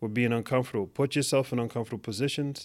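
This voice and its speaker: On a very clean recording with a silent background, a man speaks with a New York accent and fairly even intonation. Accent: New York American English. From New York City (Manhattan). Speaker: technology executive. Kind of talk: interview.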